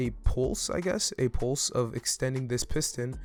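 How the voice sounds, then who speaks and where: A man's medium-pitched voice at a fairly slow pace with fairly even intonation, music playing in the background. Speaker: Minecraft redstone content creator. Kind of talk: casual gameplay tutorial narration.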